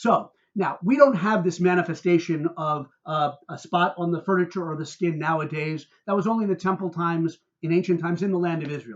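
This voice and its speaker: At a fairly quick pace, a man talks in a high pitch with ordinary pitch variation. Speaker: rabbi. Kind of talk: religious teaching talk to camera. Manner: animated, heated.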